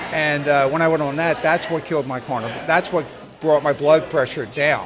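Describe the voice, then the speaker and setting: Over noticeable background noise, a man talks at a fairly quick pace in a fairly high voice with fairly even intonation. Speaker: long-distance hiker. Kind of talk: interview. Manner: fast; halting.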